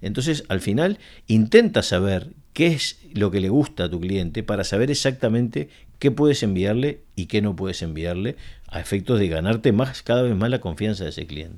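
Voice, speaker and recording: A man's fairly low voice with lively intonation at a moderate pace, in a very clean recording with a silent background. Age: 50s. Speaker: marketing company founder and CEO. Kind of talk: interview. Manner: halting, many fillers and repetitions.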